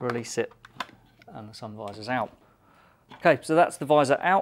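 A man talks with ordinary pitch variation. Light background noise is present. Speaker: presenter. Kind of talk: tutorial. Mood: relaxed, friendly. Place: studio.

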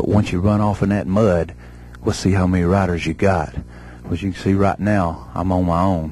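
Very deep and low, a man's voice carries a Southern US accent at a fairly quick pace. The sound is dry with no echo, and his pitch varies in an ordinary way. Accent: Southern American. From Southern United States. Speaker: professional wrestler. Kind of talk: wrestling promo. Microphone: handheld.

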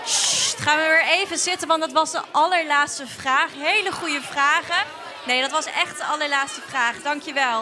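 Noticeable background noise sits behind a woman with a high pitch and a raised, projected voice. She keeps a moderate pace with ordinary pitch variation. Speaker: student presenter; event host. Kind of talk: event hosting for children. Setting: lecture hall with audience. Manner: energetic. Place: hall. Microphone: handheld.

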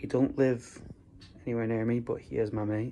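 Light background noise sits under a man's voice. He speaks fairly slowly with flat, monotone intonation. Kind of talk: casual vlog chat. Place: home room. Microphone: phone near.

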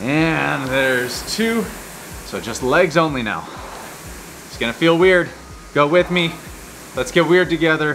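At a fairly slow pace, a man speaks with long, frequent pauses, big swings in loudness and ordinary pitch variation, against light background noise. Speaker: rowing coach. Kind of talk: workout instruction. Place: gym. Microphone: lapel.

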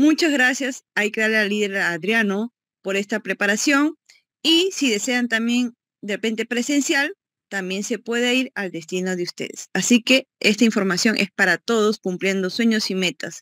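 Against a quiet background, the speech moves at a moderate pace with ordinary pitch variation and a dry sound with no echo. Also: woman, fairly high pitch for a woman. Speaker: event host. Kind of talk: event presentation. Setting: video call.

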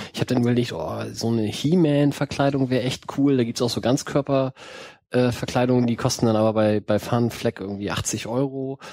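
A man talks fairly quickly at a medium pitch, with ordinary pitch variation. His tone is dark and mellow. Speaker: podcast host. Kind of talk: casual chat. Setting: studio.

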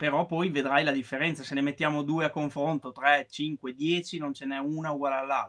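A plain, everyday voice at a fairly quick pace over a quiet background. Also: man. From Emilia-Romagna, Italy (Parma area); Emilia-Romagna, Italy. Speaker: woodworking artisan; guest. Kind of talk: interview. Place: home room. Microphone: video call.

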